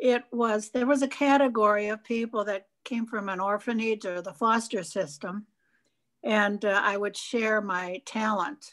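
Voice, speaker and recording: Against a quiet background, a woman with a fairly high pitch speaks at a very slow pace with ordinary pitch variation. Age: 80s+. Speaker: harpist, tap dancer and senior pageant queen. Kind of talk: interview answer. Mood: warm, grateful. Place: home room. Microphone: video call.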